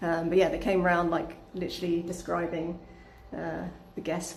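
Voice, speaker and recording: A woman speaks at a moderate pace with a fairly low pitch. Her intonation is monotone and flat, and the room echo is audible. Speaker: Airbnb host and cleaner vlogger. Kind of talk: live stream vlog, casual talk. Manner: casual, many fillers (um, uh, like).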